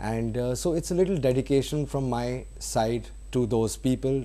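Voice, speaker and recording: In a Bengali accent, a man talks at a moderate pace. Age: young. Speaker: film director. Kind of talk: interview. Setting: studio. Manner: hesitant, many fillers.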